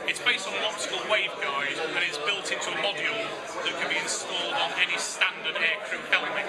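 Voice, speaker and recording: A man rattles along at a very fast pace, his pitch varying ordinarily, with loud background noise all around. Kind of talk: product explanation interview. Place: hall. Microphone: phone near.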